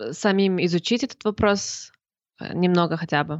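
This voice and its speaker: Her pitch fairly low for a woman, she speaks with ordinary pitch variation. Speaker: podcast co-host. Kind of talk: live podcast chat.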